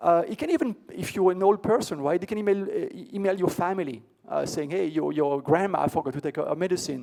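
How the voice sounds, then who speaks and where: Over a quiet background, a man talks with a high pitch, a dark, mellow tone and lively intonation. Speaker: tech conference keynote speaker; conference keynote speaker. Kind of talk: conference talk. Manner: fast; hesitant, many fillers and repeats. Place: hall.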